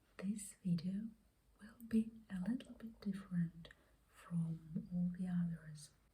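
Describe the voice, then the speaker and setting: Very slowly, the soft-spoken speaker delivers the words. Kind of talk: ASMR art show-and-tell talk. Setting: close to microphone.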